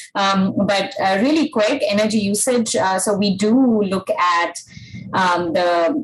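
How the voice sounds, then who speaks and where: Over noticeable background noise, the speaker's intonation stays lively. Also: woman. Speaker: energy analyst. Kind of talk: webinar presentation.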